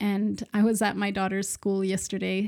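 A woman is speaking. She talks with a Swedish accent. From Sweden. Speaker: nonprofit founder and podcast host. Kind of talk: solo podcast monologue.

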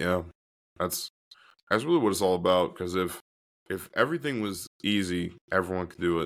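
On a very clean recording with a silent background, a man with a very deep, low pitch and ordinary pitch variation talks at a fairly quick pace, broken by long, frequent pauses. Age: 20s. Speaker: former pro football player. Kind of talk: casual chat.

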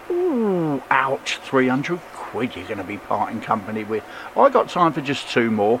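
A man speaks in a relaxed tone with lively intonation at a moderate pace. Noticeable background noise runs underneath. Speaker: radio DJ. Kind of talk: radio show presenting, station announcer style. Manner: relaxed, friendly, conversational.

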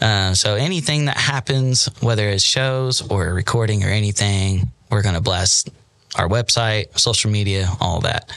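Loudness stays very even, with ordinary pitch variation at a moderate pace. Noticeable background noise is present. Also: man, fairly low pitch for a man. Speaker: band lead singer. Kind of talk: casual interview. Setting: podcast studio.

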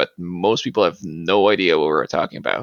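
A man's bright, sharp tone comes through in a dry, close sound with no echo. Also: quiet background. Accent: Quebec. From Quebec, eastern Appalachian small town. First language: French. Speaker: museum collections manager and martial arts practitioner. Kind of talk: interview. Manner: halting, many fillers.

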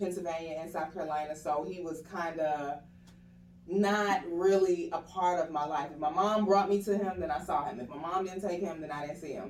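Over noticeable background noise and audible room echo, a woman speaks in a fairly low pitch at a moderate pace, with ordinary pitch variation. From Atlanta. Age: 30s. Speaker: actress and youth arts foundation founder. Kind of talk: interview conversation. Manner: proper, polished speech.

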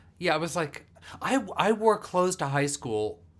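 A man is speaking. He talks with an American accent. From US, Burbank, California. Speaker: actor and improviser. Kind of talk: casual chat. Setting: home studio.

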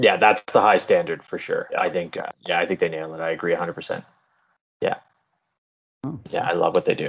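A man with a Canadian accent at a fairly quick pace, broken by long, frequent pauses. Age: 30s. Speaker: parkour coach. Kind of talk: casual chat.

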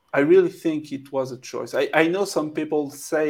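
Here a man speaks with a French accent. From France. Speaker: documentary filmmaker. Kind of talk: interview. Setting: video call.

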